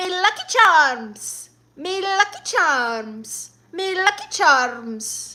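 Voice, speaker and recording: In a put-on character voice with an Irish accent, a woman speaks very slowly at an extremely high pitch with very wide pitch swings. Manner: exaggerated, mocking.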